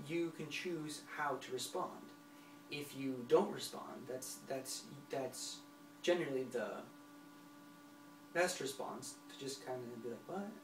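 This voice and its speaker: Over noticeable background noise and audible room echo, a man with a fairly high voice speaks at a very slow pace, with long, frequent pauses, ordinary pitch variation and big swings in loudness. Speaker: self-help vlogger who stutters. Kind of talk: motivational talk to camera. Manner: halting with word repetitions.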